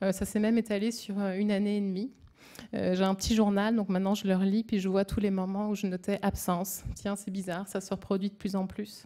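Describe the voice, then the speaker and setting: Her dark, mellow tone sits at medium pitch as a woman talks at a fairly quick pace in monotone, flat intonation. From France. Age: 30s. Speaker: brain tumour patient. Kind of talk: testimony. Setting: symposium audience. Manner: halting, hesitant.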